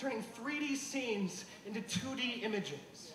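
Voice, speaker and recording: Light background noise and audible room echo surround a man speaking with ordinary pitch variation. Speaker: slam poet. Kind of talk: slam poetry performance. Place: stage.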